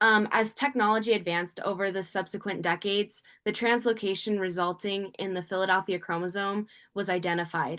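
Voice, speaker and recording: A woman speaks at a fairly quick pace in a bright, sharp tone. Her intonation stays fairly even. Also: medium pitch for a woman, quiet background. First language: not English. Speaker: university student. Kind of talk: class presentation. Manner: halting, many fillers.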